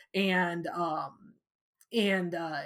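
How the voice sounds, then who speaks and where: With a Midwestern American accent, a woman speaks at a fairly low pitch. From US Midwest, small-town Illinois. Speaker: physics professor. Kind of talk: interview. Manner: hesitant, many fillers.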